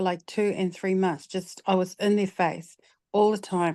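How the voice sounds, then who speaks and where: A woman speaks with a New Zealand accent. The background is quiet. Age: 60s. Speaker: retired film and television producer. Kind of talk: audience question in an online session, personal story. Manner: halting, many fillers and repeats.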